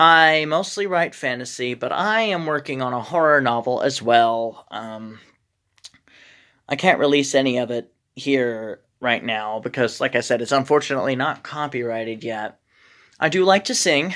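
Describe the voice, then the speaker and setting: A woman speaks with very deep, low pitch and lively intonation. The recording is very clean, with a silent background. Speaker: vlogger. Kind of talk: casual vlog monologue. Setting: in a shed. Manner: slow, careful; halting, many fillers.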